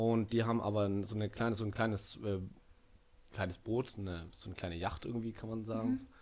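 A fairly low-pitched man speaking at a fairly quick pace in a flat monotone. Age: 20s. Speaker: student. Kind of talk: casual chat. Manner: halting, many fillers.

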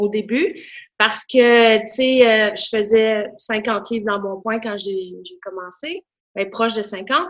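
Her voice sits fairly high, and this woman speaks at a very slow pace with ordinary pitch variation. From Quebec, Outaouais. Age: 40s. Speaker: school remedial teacher, gym member. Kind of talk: casual interview.

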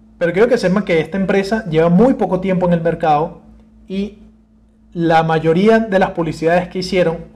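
A man speaks with a high pitch at a moderate pace. His pitch varies in an ordinary way. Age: 20s. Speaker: podcast host. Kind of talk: casual solo talk.

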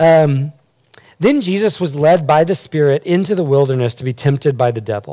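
Fairly high in pitch for a man, his dark, mellow tone carries lively intonation at a moderate pace on a very clean recording with a silent background. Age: 40s. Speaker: campus ministry leader. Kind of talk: teaching talk; panel discussion.

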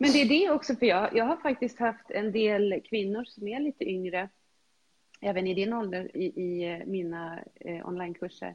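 Lively intonation marks a woman's medium-pitched voice. She keeps a moderate pace. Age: 50s. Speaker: health and fitness coach. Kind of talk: casual chat. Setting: video call.

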